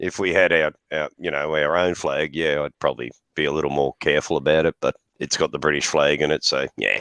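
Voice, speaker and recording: A man with an Australian accent talks at a fairly quick pace, the sound dry and close with no echo. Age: 60s. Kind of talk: casual chat. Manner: hesitant, filler-heavy.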